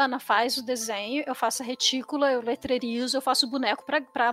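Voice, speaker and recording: Talking at a fairly quick pace, a woman has a high pitch. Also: dry, close sound with no echo. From Brazil, São Paulo city. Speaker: comics writer. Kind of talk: interview. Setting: live stream.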